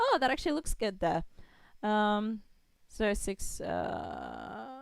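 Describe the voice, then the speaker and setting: A woman speaks with an Australian accent. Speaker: game developer streamer. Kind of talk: live coding stream. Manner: casual, thinking aloud.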